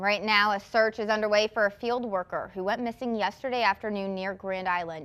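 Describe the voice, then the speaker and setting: In an ordinary speaking voice, a woman with an American accent talks at a fairly quick pace and medium pitch. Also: fairly even intonation, very clean recording, silent background. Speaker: television news anchor and reporter. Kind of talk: television news anchor and live reporter delivery. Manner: clear, professional news delivery.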